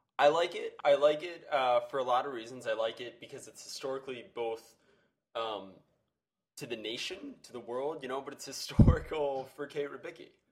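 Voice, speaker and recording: A man with an ordinary speaking voice talks at a moderate pace and a fairly high pitch. His intonation stays fairly even while his loudness swings a lot. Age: 20s. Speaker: podcast co-host. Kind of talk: casual chat.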